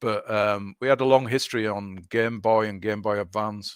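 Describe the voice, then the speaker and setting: With a Yorkshire accent, a man speaks at a moderate pace and medium pitch with fairly even intonation, in a very clean, dry, close recording with no echo and a silent background. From northern England, Leeds. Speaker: video game developer. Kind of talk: interview. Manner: halting.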